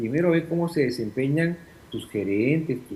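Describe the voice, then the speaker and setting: A man speaks in a dark, mellow tone. His voice is somewhat breathy. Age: 60s. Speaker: former congressional official, political analyst. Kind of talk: interview.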